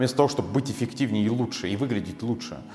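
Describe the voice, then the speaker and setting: Very fast speech unfolds with ordinary variation in pitch. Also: man. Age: 20s. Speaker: hair colouring instructor. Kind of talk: motivational monologue. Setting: solo video recorded in one take.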